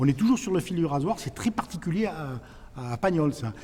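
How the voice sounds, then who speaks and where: A man talks at a very fast pace in a high pitch. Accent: Provençal. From Provence. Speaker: actor. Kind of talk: interview.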